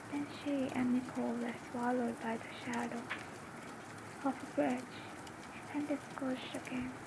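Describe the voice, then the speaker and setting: Soft-spoken and calm in tone, the voice comes with long, frequent pauses over noticeable background noise. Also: woman, moderate pace. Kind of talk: ASMR book reading. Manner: soft-spoken, calm.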